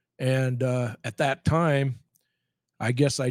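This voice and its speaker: A man speaks in a plain, everyday voice at medium pitch. The recording is very clean, with a silent background, and sounds dry and close with no echo. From rural Nebraska. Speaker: retired high school football coach. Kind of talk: casual interview.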